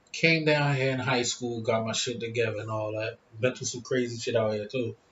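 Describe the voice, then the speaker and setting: Fairly quick pace, fairly even intonation and noticeable background noise. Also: man, medium pitch for a man. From Philadelphia, US. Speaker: YouTuber. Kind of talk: casual vlog monologue. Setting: smoking hookah at home.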